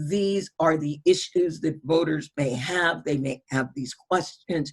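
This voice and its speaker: Somewhat breathy, a woman speaks fairly slowly at a very deep, low pitch with ordinary pitch variation. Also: dry, close sound with no echo. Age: 60s. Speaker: voting rights organizer. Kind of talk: webinar Q&A answer.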